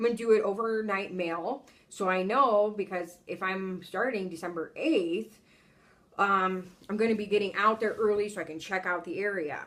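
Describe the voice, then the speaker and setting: Moving at a moderate pace with ordinary pitch variation, this is a plain, everyday voice. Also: woman, medium pitch for a woman. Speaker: travel nurse vlogger. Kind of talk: casual vlog monologue.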